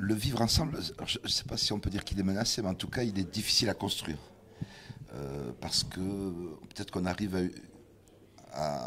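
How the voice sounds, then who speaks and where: A man's fairly low voice at a moderate pace, lively in intonation, broken by long, frequent pauses. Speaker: musician. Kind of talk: interview.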